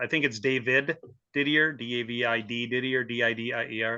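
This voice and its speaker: This man has an ordinary speaking voice at medium pitch. His intonation stays fairly even. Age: 60s. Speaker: obstacle race brand ambassador, cancer survivor. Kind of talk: podcast interview.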